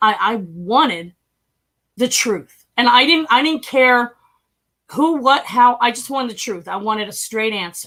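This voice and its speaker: Fairly slow but animated, a woman with a slight Philadelphia accent speaks at a high pitch in a bright, sharp tone with lively intonation. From US Northeast, North Philadelphia. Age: 50s. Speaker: human trafficking survivor and stock trader. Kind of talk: interview testimony.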